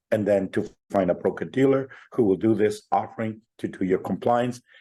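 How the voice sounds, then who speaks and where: Against a quiet background, the voice carries a dark, mellow tone with fairly even intonation at a moderate pace. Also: man, medium pitch for a man. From Chile, raised in Canada. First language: Spanish. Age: 60s. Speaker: fintech entrepreneur. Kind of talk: interview.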